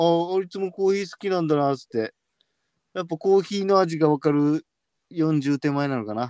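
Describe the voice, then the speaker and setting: Dark and mellow in tone, the voice moves at a moderate pace with ordinary pitch variation. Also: man, fairly high pitch for a man. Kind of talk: casual chat.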